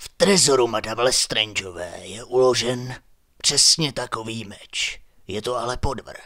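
A man's put-on character voice at a medium pitch.

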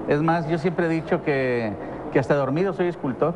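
A man's fairly high voice with ordinary pitch variation, amid noticeable background noise. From Monterrey, northern Mexico; Mexico. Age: 60s. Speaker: sculptor; interview guest. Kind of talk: interview; interview answer. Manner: halting, many fillers and repetitions. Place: studio.

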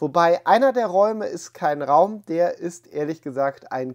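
A man's voice against a quiet background. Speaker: collector channel host. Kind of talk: casual vlog intro. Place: home room. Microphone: lapel.

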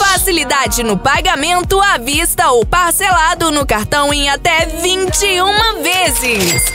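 Raising and projecting her voice, a woman talks at an extremely high pitch with lively intonation and hardly any pauses, in a dry sound with no echo and noticeable background noise. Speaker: voice-over artist. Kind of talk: radio commercial spot. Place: booth.

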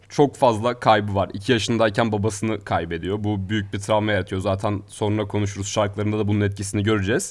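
A man talks at a very fast pace with hardly any pauses, his fairly low pitch held in a monotone, flat intonation. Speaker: student radio host. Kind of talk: casual chat.

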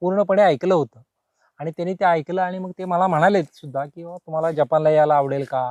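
The recording of this man is dry and close with no echo, his high-pitched voice held to fairly even intonation while its loudness swings widely. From Maharashtra, Solapur district (Pandharpur). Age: 50s. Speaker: farmer. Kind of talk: interview.

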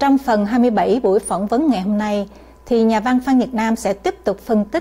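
Somewhat breathy and fairly high-pitched, a woman speaks at a fairly slow pace with a dark, mellow tone and ordinary pitch variation. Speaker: TV news presenter. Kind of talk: news presenter introduction and sign-off. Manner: formal. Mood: formal, calm. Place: studio.

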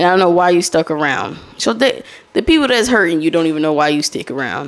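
A woman at a fairly quick pace with lively intonation. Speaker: podcast host. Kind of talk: solo podcast monologue, casual chat with audience. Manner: casual, conversational. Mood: candid, advising. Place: home room. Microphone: studio mic.

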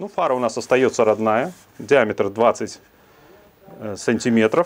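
A man speaks with vocal fry. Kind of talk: tutorial. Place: garage. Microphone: lapel.

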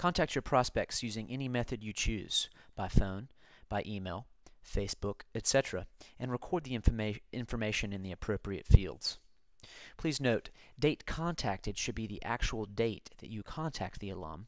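An ordinary speaking voice from a man, medium in pitch and moderate in pace, with big swings in loudness against a quiet background. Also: lively intonation. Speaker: university staff narrating a tutorial. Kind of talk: tutorial.

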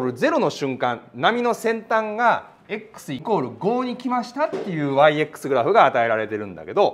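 A man speaks at a high pitch with very wide pitch swings. His pace is fairly slow. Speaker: physics teacher. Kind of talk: lecture. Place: classroom.

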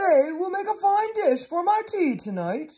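A cartoonish character voice at an extremely high pitch and moderate pace. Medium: puppet show. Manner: mocking, laughing.

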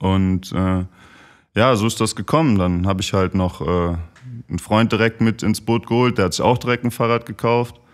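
A man with an ordinary speaking voice talks at a moderate pace and a fairly low pitch, with ordinary pitch variation and very even loudness, in a very clean recording with a silent background. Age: 30s. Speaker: professional footballer. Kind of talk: casual chat.

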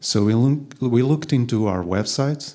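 The man's voice has a dark, mellow tone and ordinary pitch variation. Behind him, the background stays quiet. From Portugal (Lisbon); Portugal. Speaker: designer; conference speaker. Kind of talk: conference talk. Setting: stage with audience. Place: hall. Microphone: handheld.

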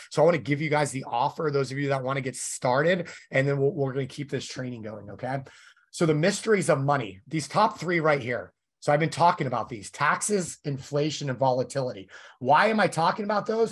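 A man's fairly high, somewhat breathy voice, fairly quick in pace and lively in intonation, over a quiet background. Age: 40s. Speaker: financial education webinar host. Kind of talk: sales webinar presentation. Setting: live online webinar.

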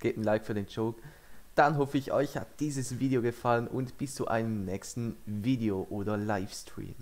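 Intonation stays fairly even while the speaker holds a moderate pace. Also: man. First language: French (speaking German). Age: young. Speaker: YouTuber. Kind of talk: casual reaction video commentary. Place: home room. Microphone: headset.

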